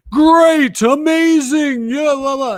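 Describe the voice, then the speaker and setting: Pitching his voice extremely high, a man performs a put-on character voice. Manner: cheesy, over-the-top hype.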